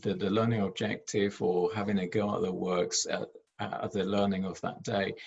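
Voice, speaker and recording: A man speaks with ordinary pitch variation in a somewhat breathy voice. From Argentina. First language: Spanish. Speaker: head teacher. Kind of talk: presentation. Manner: halting, many fillers and repetitions.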